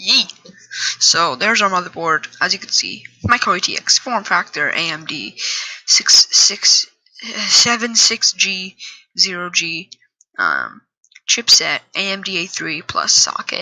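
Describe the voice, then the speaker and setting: The speech moves at a fairly slow pace. Long pauses come often. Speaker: gaming YouTuber. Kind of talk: tutorial.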